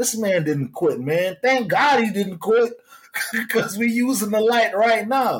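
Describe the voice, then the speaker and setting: Speaking at an extremely high pitch with an American accent, a man keeps his loudness very even and his pitch variation ordinary at a fairly slow pace. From Jamaica, then Florida from age 11. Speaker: hiker and outdoor content creator. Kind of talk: casual interview chat.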